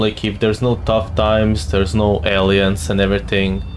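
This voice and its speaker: Audible room echo surrounds this man as he talks. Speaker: gaming streamer. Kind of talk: let's play commentary. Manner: mumbling at times.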